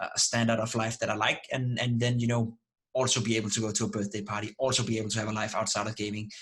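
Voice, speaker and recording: A man with a non-native accent speaks at a very fast pace in monotone, flat intonation. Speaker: esports analyst and streamer. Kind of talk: interview. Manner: halting with many repetitions.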